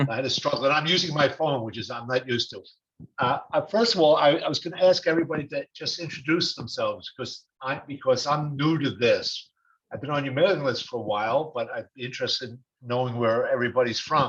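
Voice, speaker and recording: Very fast and fairly high-pitched, a man with a New York accent talks with big swings in loudness. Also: ordinary pitch variation. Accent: New York (Brooklyn), noticeable. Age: 70s. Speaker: retired attorney, webinar participant. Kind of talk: question in webinar Q&A. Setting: video webinar, joining by phone. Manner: halting, many fillers. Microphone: phone.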